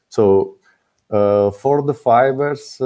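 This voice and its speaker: A man speaks with a non-native accent and ordinary pitch variation. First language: not English. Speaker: student boat-building team member. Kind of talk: presentation Q&A. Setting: online video call. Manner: halting, many fillers.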